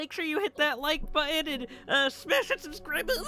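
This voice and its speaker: A put-on character voice speaks in a high pitch at a moderate pace. Clear background noise can be heard. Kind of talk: YouTuber voice. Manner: hyped, upbeat.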